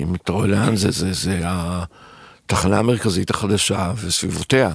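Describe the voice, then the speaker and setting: A man with a very deep, low pitch at a fairly slow pace. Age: 60s. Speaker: restaurateur and entrepreneur. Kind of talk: interview.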